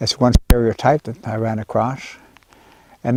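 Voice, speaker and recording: The voice has a dark, mellow tone, heard dry and close with no echo. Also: man. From Alaska, Barrow (Inupiaq). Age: 70s. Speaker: pastor. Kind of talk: interview testimony. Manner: halting.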